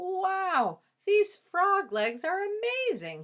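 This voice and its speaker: In a put-on character voice, a woman speaks very slowly at an extremely high, squeaky pitch, her voice raised and projected. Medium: read story. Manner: polite, proper.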